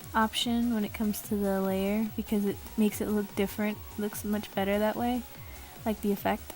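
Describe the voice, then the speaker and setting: Over music in the background, a woman speaks at a fairly quick pace and medium pitch, with monotone, flat intonation and very even loudness. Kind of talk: drawing tutorial narration. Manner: casual, hesitant.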